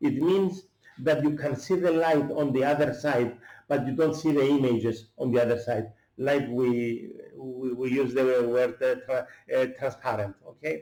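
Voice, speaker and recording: A man with a Greek accent speaks in a medium pitch with a dark, mellow tone. His pace is moderate and his pitch variation ordinary. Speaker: chef. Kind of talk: cooking tutorial. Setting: at home. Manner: halting, many fillers.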